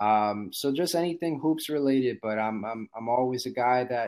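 A man speaks in an American accent at a medium pitch. He has an unremarkable speaking voice and a moderate pace. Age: 30s. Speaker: basketball podcaster. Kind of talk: casual chat.

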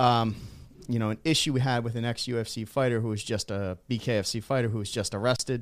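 An unremarkable speaking voice at a fairly quick pace with fairly even intonation. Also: man, medium pitch for a man. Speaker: combat sports podcast co-host. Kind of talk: casual chat. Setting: studio.

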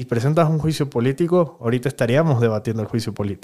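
A man's dark, mellow voice with lively intonation. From Venezuela. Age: 30s. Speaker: politician. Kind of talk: interview.

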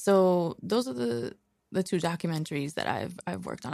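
With lively intonation, a woman with a fairly low pitch talks in an ordinary speaking voice at a moderate pace. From Queens, New York. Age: 30s. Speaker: documentary filmmaker. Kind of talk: casual interview.

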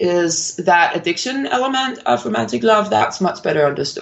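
The speech comes in a Danish accent. Its pitch swings very widely. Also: woman. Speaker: philosophy professor and author. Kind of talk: interview. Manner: halting, many fillers.

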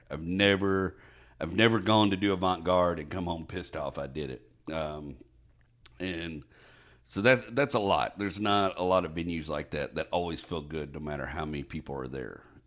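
A man with an American accent speaks at a moderate pace, his pitch very deep and low with ordinary variation and some vocal fry. The recording is very clean, with a silent background. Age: 40s. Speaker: stand-up comedian. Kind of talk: casual chat.

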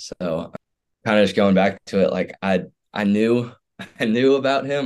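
A normal speaking voice is heard here. It moves at a moderate pace with ordinary pitch variation. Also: man. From Houston, Texas. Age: 20s. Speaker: college football player. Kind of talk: personal testimony.

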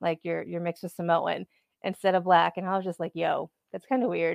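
A woman speaks with an American accent at a fairly quick pace. She has a normal speaking voice. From San Diego, California. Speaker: podcast guest and listener. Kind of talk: casual interview chat.

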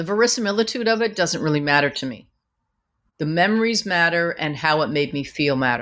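A woman with a fairly low pitch talks at a fairly quick pace with very wide pitch swings in a very clean recording with a silent background. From Canada, Vancouver. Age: 50s. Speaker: author and former music manager. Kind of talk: interview.

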